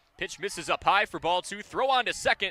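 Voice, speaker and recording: Very wide pitch swings in a man's raised, projected voice. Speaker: radio sports broadcaster. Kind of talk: baseball play-by-play. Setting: radio broadcast.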